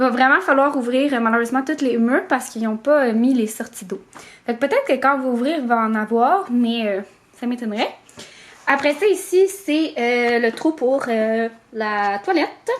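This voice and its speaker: A high-pitched woman talks at a moderate pace with lively intonation. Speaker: vlogger. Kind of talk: casual vlog chat. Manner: hesitant, many fillers.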